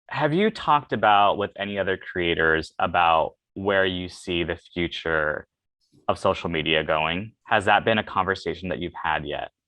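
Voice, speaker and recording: This man's voice is very deep and low. He keeps a moderate pace with ordinary pitch variation. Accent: American. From Los Angeles, South Bay. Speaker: podcast host. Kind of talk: podcast interview.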